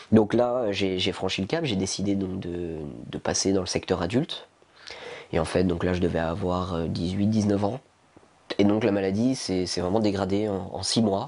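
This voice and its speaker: A man's speech, set against noticeable background noise, keeps a moderate pace and shows ordinary pitch variation. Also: fairly low pitch for a man. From eastern France, near Besançon. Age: 20s. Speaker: lung transplant patient. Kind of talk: testimony. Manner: halting, many hesitations.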